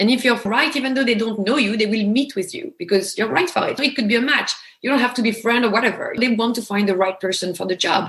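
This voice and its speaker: A woman's very fast speech in a strong French accent, with lively intonation. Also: fairly high pitch for a woman, hardly any pauses. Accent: heavy French. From France. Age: 40s. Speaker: actor. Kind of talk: interview.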